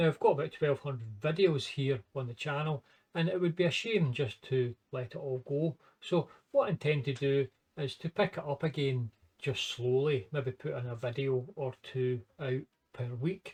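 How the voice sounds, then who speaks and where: A man with a strong Scottish accent speaks at a moderate pace in a fairly high, somewhat breathy voice. His pitch varies in an ordinary way, and the sound is dry and close with no echo. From Scotland. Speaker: maths and computer science educator. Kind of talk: casual talk to camera and screen walkthrough.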